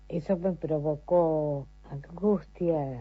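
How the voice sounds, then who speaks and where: Over music in the background, a woman speaks at a very deep, low pitch with fairly even intonation. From Argentina, Entre Ríos (Concepción del Uruguay). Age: 70s. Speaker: retired court employee and garden volunteer. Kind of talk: recorded testimony.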